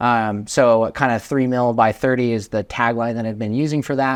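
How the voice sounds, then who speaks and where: On a very clean recording with a silent background, a man talks at a moderate pace and medium pitch in a monotone, flat intonation. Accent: American. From Vermont, US Northeast. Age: 20s. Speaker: real estate investor. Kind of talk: podcast interview.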